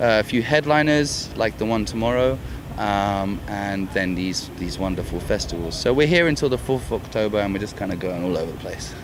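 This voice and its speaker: With a London accent, a man talks at a fairly quick pace and a fairly low pitch, his intonation lively, amid audible room echo and noticeable background noise. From London, England. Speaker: rock band singer. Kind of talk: casual interview. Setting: music festival backstage.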